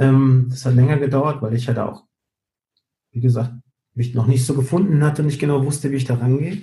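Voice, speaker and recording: A man with a somewhat breathy voice and a dark, mellow tone talks at a fairly quick pace, his medium pitch held to fairly even intonation. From Canary Islands (Gran Canaria), Spain. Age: 40s. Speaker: show director and entertainer. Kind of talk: interview.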